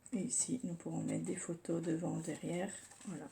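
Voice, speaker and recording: A soft-spoken woman talks at a moderate pace. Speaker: scrapbooking youtuber. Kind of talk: tutorial. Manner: hesitant, with fillers.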